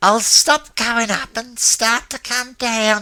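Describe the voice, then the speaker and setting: A man's put-on character voice, extremely high in pitch, very slow, with fairly even intonation. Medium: read story. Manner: coarse, colloquial.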